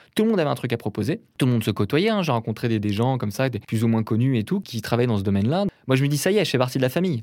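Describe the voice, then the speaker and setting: Very fast and at a medium pitch, a man speaks in a very clean recording with a silent background. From Brittany, France (near Rennes). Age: 30s. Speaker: painter. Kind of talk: interview. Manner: hesitant, many fillers.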